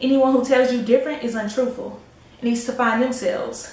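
A woman with an American accent speaks at a fairly quick pace in a high pitch and a monotone, flat intonation. Audible room echo surrounds her voice. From United States. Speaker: spoken word poet, YouTube creator. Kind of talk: spoken word poetry performance. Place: home room. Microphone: camera far.

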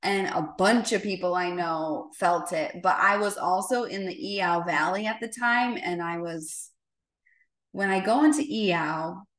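A woman speaks at a fairly slow pace with audible room echo against a quiet background. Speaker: spiritual teacher. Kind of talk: talk to a group on a call. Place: home room. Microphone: video call.

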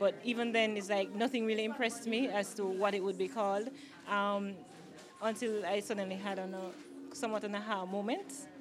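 Through noticeable background noise, a woman talks at a fairly quick pace with fairly even intonation. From Jamaica. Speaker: clothing line owner and designer. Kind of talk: media interview; promotional plug. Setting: product launch event. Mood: pleased, friendly. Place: shop. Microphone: handheld.

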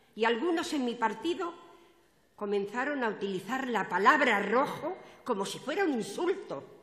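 With audible room echo, a woman talks at a high pitch with very wide pitch swings. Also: moderate pace. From Spain. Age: 80s+. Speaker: party activist, opening speaker at political rally; speaker. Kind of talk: political rally speech. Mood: emotional, earnest. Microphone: podium.

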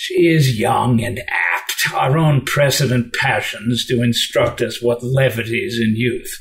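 A man talks at a fairly slow pace with a medium pitch. He leaves hardly any pauses, with light background noise behind him. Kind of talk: unrehearsed Shakespeare reading.

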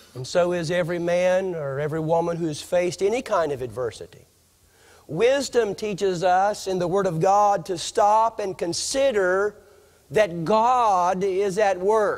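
A man speaks at a fairly slow pace in a high voice. His pitch varies in an ordinary way, and the background is quiet. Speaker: preacher. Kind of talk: sermon. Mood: earnest, personal testimony about cancer. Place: church. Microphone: podium.

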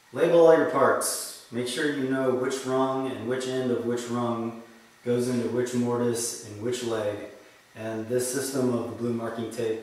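Strong room echo surrounds a man's voice. He speaks at a fairly slow pace in a monotone, flat way. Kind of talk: tutorial. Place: workshop. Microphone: camera far.

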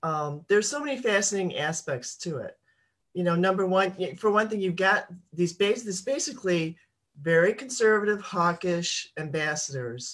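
A woman with a plain, everyday voice, fairly low in pitch, speaking fairly slowly with lively intonation. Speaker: political activist panelist. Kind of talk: casual political discussion. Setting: video call.

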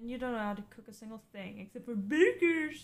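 Very fast talk from a woman, fairly high in pitch, with lively intonation and a playful tone. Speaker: stream co-host. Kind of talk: casual livestream chat. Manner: playful, laughs often. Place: home room.

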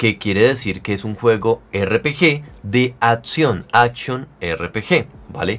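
Speech moves at a very slow pace. Its pitch shifts in an ordinary way. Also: man. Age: 30s. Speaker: gaming youtuber. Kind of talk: video tutorial. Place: home room.

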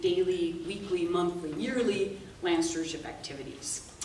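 There is audible room echo and light background noise as a woman speaks at a fairly slow pace. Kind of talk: presentation talk. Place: meeting room. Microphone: camera far.

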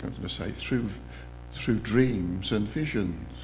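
Noticeable background noise sits under a man speaking at a fairly slow pace. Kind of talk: informal testimony sharing. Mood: warm, reflective. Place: church. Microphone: podium.

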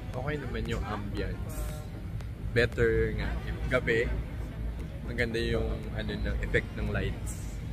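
Clear music plays behind a man. He speaks at a fairly slow pace. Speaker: vlogger. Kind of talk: casual vlog chat. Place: cafe. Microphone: phone near.

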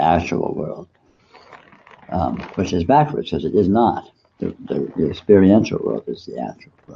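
Vocal fry runs through this man's voice at a moderate pace, with light background noise behind him. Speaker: meditation teacher. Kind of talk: spiritual talk.

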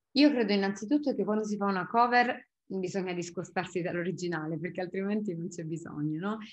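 The speech moves at a fairly quick pace with hardly any pauses and ordinary pitch variation. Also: woman. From Apulia, Italy (Bisceglie); Apulia, Italy. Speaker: singer-songwriter; interviewee. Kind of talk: interview. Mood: relaxed, thoughtful. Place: home room. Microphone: webcam.

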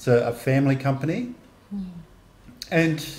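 A man's speech holds a moderate pace and shows ordinary pitch variation. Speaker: vlogger. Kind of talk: casual vlog chat. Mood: cheerful, laughing. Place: home room. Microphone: studio mic.

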